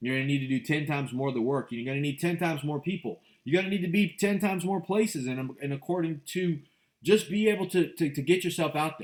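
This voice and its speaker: Talking at a very fast pace, this man has an animated tone, a fairly high pitch and ordinary pitch variation. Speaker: real estate investor and motivational show host. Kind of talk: motivational monologue.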